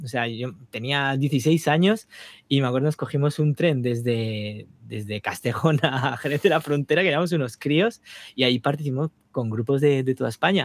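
A plain, everyday voice moves at a moderate pace with ordinary pitch variation, the sound dry and close with no echo. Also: man, fairly high pitch for a man. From Spain, Navarre (small town). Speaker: touring keyboardist and composer. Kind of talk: casual interview.

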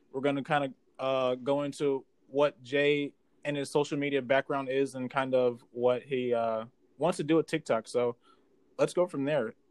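A man with an unremarkable speaking voice talks at a moderate pace and a fairly high pitch. His intonation is fairly even, and the sound is dry and close, with no echo. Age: 20s. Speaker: podcast host. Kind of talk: casual interview. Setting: remote video call.

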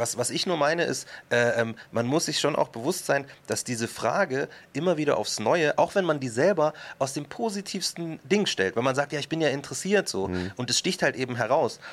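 This man's pitch sits fairly high, and his intonation is lively. He talks at a moderate pace in an unremarkable speaking voice. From Upper Bavaria, Germany (Markt Schwaben near Munich). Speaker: rapper and author. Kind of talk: casual interview chat.

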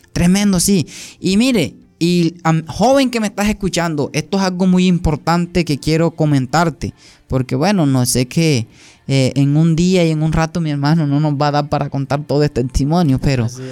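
In a very clean recording with a silent background, a man with a dark, mellow tone and fairly high pitch speaks at a moderate pace with ordinary pitch variation. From Colombia, Sucre and Antioquia. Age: 20s. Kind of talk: testimony.

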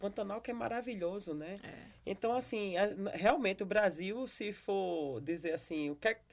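A woman with a normal speaking voice talks at a moderate pace and medium pitch, lively in intonation and with hardly any pauses. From Brazil, Paraíba (Campina Grande). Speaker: pastor and podcast host. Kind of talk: casual interview.

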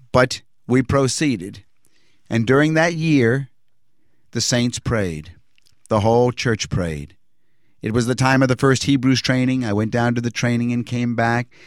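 A man talks at a fairly slow pace and medium pitch with ordinary pitch variation. He leaves long, frequent pauses, and the recording is very clean with a silent background. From Virginia (Norfolk). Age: 60s. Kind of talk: testimony. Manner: measured, with frequent hesitations.

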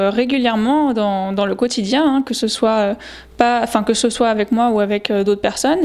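At a moderate pace, a woman with a fairly high pitch talks with ordinary pitch variation. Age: 20s. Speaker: podcast host. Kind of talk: solo reflective monologue. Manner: casual, with frequent hesitations.

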